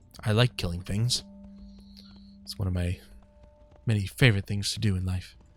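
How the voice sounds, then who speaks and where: Over music in the background, a man with a fairly low voice speaks at a moderate pace, leaving long, frequent pauses. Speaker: gaming streamer. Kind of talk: casual gameplay commentary. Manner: casual and conversational.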